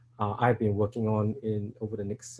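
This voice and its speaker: A man with a Singaporean accent talks fairly quickly in a fairly low pitch, with monotone, flat intonation. His voice is somewhat breathy, with a dark, mellow tone. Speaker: software engineer, conference speaker. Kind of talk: conference talk. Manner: halting, many fillers.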